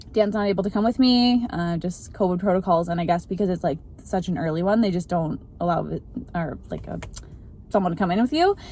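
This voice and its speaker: Her voice is fairly low in pitch, with a dark, mellow tone and a somewhat breathy quality. This woman shows ordinary pitch variation. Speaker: vlogger. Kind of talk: video diary. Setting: in a car. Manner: casual, filler-heavy; whispering.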